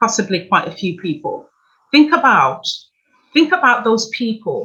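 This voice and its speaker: A woman with a British accent speaks at a moderate pace and a fairly high pitch, with very wide pitch swings. Her tone is bright and sharp, with vocal fry. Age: 60s. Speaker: financial coach. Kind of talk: workshop presentation.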